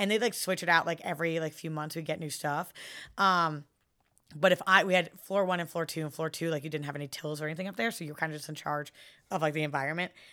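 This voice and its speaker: On a very clean recording with a silent background, a woman with an American accent speaks very fast in a bright, sharp, fairly low voice with fairly even intonation. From San Francisco, US West Coast. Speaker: pop culture fan, friend of host. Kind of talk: casual chat.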